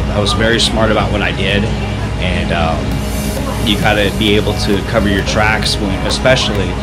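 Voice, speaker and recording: Loud music plays in the background. Over it, a man speaks at a moderate pace. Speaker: vlogger. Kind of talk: casual vlog chat. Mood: earnest personal storytelling. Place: home room. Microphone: phone near.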